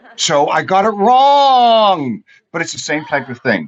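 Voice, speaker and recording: Mumbled speech with lively intonation. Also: man. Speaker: TV show commentator. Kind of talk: casual chat. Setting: studio. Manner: mumbling.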